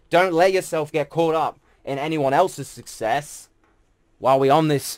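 The speaker moves at a moderate pace with ordinary pitch variation. The recording is very clean, with a silent background. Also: man. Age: 20s. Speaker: musician and podcast host. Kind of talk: motivational monologue. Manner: animated, casual with fillers.

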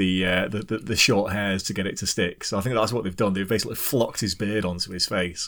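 A man with a British accent talks at a very fast pace in a fairly low pitch. The recording is very clean, with a silent background. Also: fairly even intonation, hardly any pauses. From UK. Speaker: podcast host. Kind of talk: casual chat.

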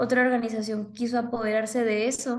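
A woman speaks at a moderate pace and a fairly high pitch. Hers is an unremarkable speaking voice. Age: 20s. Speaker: author. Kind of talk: interview.

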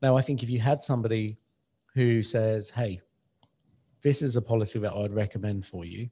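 A man with a British accent speaks in a dark, mellow, somewhat breathy tone at a medium pitch. His pace is fairly quick, his intonation fairly even, and he leaves long, frequent pauses. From UK, Indian heritage. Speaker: podcast co-host. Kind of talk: casual chat.

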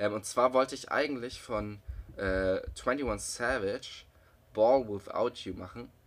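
The man's intonation is fairly even. He talks at a very slow pace. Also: medium pitch for a man. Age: 20s. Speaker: podcast co-host, university student. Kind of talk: casual chat.

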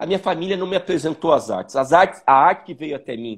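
A man's voice pitched high. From Joinville, Santa Catarina, southern Brazil. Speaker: visual artist. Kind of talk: interview. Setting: video call.

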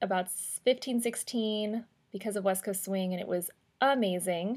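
On a very clean recording with a silent background, a woman with a fairly high pitch speaks at a fairly slow pace with ordinary pitch variation. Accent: American. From US Midwest. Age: 30s. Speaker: life coach and podcast host. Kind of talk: solo podcast storytelling.

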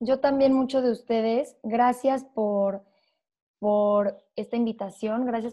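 This woman has a fairly high pitch. She talks at a fairly slow pace. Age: 20s. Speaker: entrepreneur and wellness coach. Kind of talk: casual interview chat.

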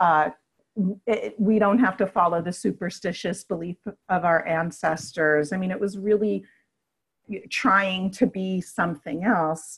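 A somewhat breathy woman at medium pitch with an American accent and ordinary pitch variation, at a fairly slow pace with long, frequent pauses. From New York City (Brooklyn, Queens). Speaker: yoga therapist and Reiki teacher. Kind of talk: casual interview.

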